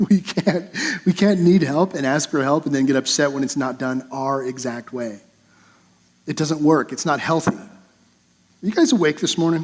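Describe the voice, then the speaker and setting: A man's fairly high-pitched voice with ordinary pitch variation and long, frequent pauses. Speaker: pastor. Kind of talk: sermon. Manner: fast; halting with repetitions.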